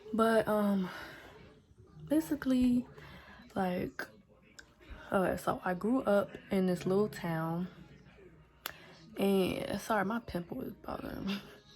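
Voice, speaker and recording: A woman at a medium pitch and a fairly slow pace, with long, frequent pauses. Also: ordinary pitch variation. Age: 18. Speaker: vlogger. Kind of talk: casual chat. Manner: rambling with many fillers.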